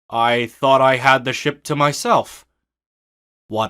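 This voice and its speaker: A cartoonish character voice at a fairly slow pace, in a very clean recording with a silent background. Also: man. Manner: formal, stern.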